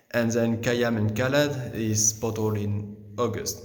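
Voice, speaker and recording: A man with a French accent speaks at a fairly slow pace in a medium pitch, with audible room echo. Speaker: winemaker. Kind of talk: guided tour. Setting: underground cellar. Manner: halting, many fillers and restarts.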